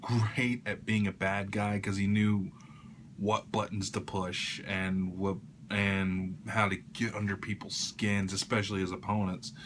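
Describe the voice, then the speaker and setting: A man speaks quietly and fairly slowly in a fairly low pitch. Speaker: YouTuber. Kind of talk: casual vlog tribute. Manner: quiet, keeping voice down; hesitant, many fillers.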